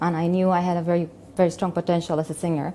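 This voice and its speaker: A woman with a Spanish accent speaks in a fairly low pitch with a dark, mellow tone. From Colombia. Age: 40s. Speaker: convert sharing life story. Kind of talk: testimony. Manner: halting.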